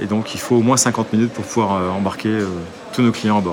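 The intonation is flat and monotone. Background noise is noticeable. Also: man. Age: 50s. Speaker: airline captain and flight instructor. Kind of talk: guided workplace tour explanation. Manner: hesitant, frequent filler words.

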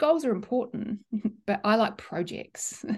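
At a moderate pace, a woman speaks in a fairly high pitch that is somewhat breathy, with ordinary pitch variation. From New Zealand. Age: 40s. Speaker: neuroscientist. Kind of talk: casual interview.

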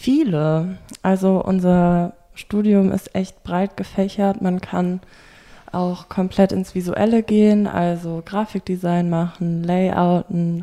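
A woman talks very slowly in a dark, mellow tone at medium pitch, her intonation monotone and flat, on a very clean recording with a silent background. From Rhineland, Germany (Bonn). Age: 20s. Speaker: fashion journalism student. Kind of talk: interview. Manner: hesitant, many fillers.

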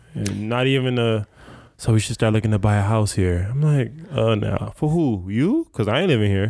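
Using a normal speaking voice, a man speaks at a moderate pace and medium pitch, with ordinary pitch variation and very even loudness, on a very clean recording with a silent background. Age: 30s. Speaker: podcast host. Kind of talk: casual interview chat. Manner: casual, profane, laid-back.

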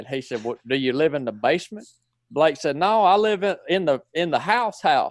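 In a northwest Georgia accent, a man with a high-pitched voice talks at a moderate pace while his pitch swings very widely. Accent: Southern, northwest Georgia. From northwest Georgia, US. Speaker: former Navy SEAL. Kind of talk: interview conversation.

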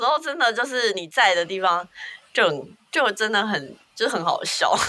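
Over noticeable background noise, a woman talks in an animated tone at a fairly high pitch and a moderate pace. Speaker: podcast co-host. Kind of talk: casual chat. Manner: animated, laughing often.

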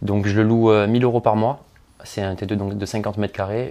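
A man speaks at a moderate pace in a monotone, with flat intonation. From Marseille, southern France. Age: 20s. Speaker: property investor. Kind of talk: interview.

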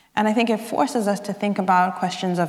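Fairly even intonation from a woman, with audible room echo. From South African exile family, grew up in Zambia and abroad. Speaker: writer. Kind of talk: interview at a live literary event. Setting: stage with audience.

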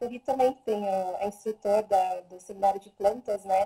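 Dark and mellow in tone, a woman's somewhat breathy voice moves with ordinary pitch variation. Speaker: Theta Healing practitioner and animal communicator. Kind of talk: casual live stream talk. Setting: Instagram live video stream. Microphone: voice too quiet at first.

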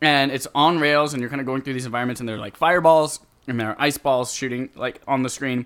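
Speech comes fairly quickly from a man whose pitch is medium. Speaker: gaming podcast host. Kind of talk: casual chat. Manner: fast; animated.

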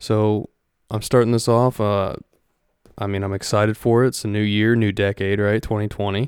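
With a Midwestern American accent, a man talks at a moderate pace in a fairly low, monotone voice, recorded very cleanly against a silent background with a dry, close sound and no echo. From Ohio, US Midwest. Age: 20s. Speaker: podcast host. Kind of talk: solo monologue podcast. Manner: casual, with many fillers.

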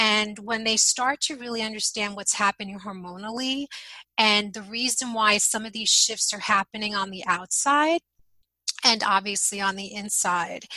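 A woman talks at a moderate pace with a fairly high pitch and ordinary pitch variation. She has an ordinary speaking voice. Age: 50s. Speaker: intuitive eating coach for midlife women. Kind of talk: interview conversation.

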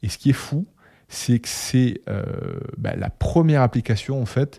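Very slowly, a man speaks in a Toulouse accent at a medium pitch, his tone dark and mellow. The sound is dry and close with no echo, on a very clean recording with a silent background. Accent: southern French (Toulouse). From Toulouse, southwest France. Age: 20s. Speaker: HR and marketing worker, podcast co-host. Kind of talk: casual chat.

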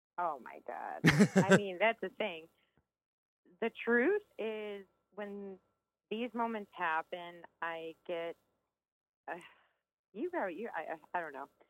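With an American accent, a woman speaks very slowly, leaving long, frequent pauses, with big swings in loudness and ordinary pitch variation. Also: medium pitch for a woman. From Chicago northwest suburbs, US. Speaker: opera soprano. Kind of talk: interview.

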